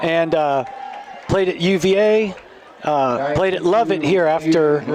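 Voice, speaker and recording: Noticeable background noise surrounds a man talking at a fairly slow pace. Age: 60s. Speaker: youth football game commentator. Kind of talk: live commentary. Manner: casual, halting with fillers.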